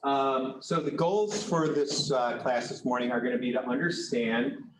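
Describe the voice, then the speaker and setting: A man with a fairly high pitch and ordinary pitch variation speaks. Audible room echo and noticeable background noise surround him. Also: moderate pace. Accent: American. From New York State. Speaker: weed risk assessment specialist. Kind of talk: lecture. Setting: classroom presentation, also streamed online. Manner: hesitant, many fillers.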